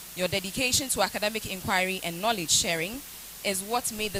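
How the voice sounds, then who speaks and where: Spoken at a moderate pace with ordinary pitch variation, the voice comes over noticeable background noise. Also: woman. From Ghana, Akuapem. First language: Akuapem Twi. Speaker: university lecturer. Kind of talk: vote of thanks speech. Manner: formal.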